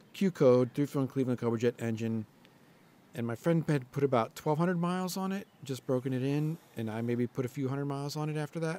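The sound is dry with no echo. A man speaks at a very fast pace in a dark, mellow tone. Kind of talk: casual walkaround description. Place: garage. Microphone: phone near.

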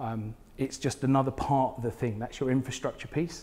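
A man speaks with a southern English accent. His pace is moderate. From southern England, Portsmouth area; southern England. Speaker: smart cities technologist; conference presenter. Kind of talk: conference talk. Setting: stage with audience. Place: hall. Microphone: lapel.

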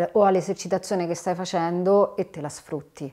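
Over a quiet background, a woman speaks at a moderate pace in a dark, mellow tone with a fairly low pitch. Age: 40s. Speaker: theatre producer; guest. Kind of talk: interview. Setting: in the host's studio. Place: home room.

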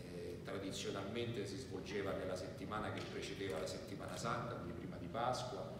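Speaking at a fairly quick pace, a man is heard with audible room echo and loud background noise. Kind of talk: press conference statement. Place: hall.

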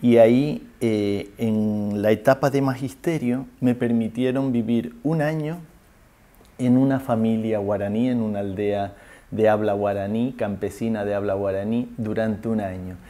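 With a dark, mellow tone, a man at medium pitch speaks at a fairly slow pace using ordinary pitch variation. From Canary Islands, Spain. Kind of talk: interview testimony. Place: home room.

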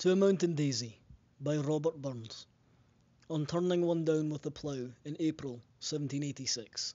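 A man with a Scottish accent speaks at a moderate pace. His pitch is fairly high, with ordinary variation. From Scotland. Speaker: poetry reader. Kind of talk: poetry reading in Scots dialect.

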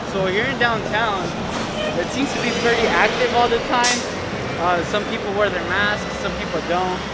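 Recorded with a dry sound and no echo, a man talks at a moderate pace against loud background noise. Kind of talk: casual vlog chat. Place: street. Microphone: camera far.

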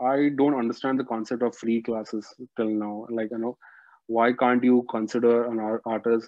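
The sound is dry with no echo and a quiet background as a man speaks at a moderate pace with monotone, flat intonation. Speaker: dance teacher guest. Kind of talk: interview answer. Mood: earnest, mildly frustrated. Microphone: video call.

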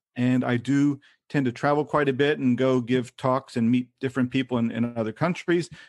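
A man with a Kentucky accent speaks at a moderate pace in a medium pitch, keeping his loudness very even and his intonation fairly even. The sound is dry and close with no echo, over a quiet background. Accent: American, Kentucky. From Kentucky, US South. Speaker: freelance English teaching consultant. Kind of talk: casual interview.

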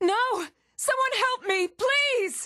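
Doing a put-on character voice, a woman speaks at an extremely high pitch and a slow pace, with a bright, sharp tone and ordinary pitch variation.

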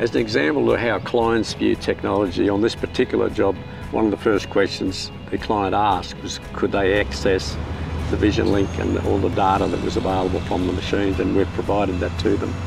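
Clear music plays behind a man talking at a fairly quick pace with ordinary pitch variation, the sound dry with no echo. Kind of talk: interview answer. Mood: calm, matter-of-fact. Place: open country.

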